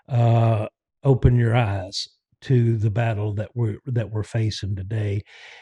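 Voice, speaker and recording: Against a quiet background, a man with a medium pitch talks at a fairly slow pace in a dark, mellow, somewhat breathy tone, the sound dry and close with no echo. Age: 60s. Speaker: podcast host. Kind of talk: casual monologue.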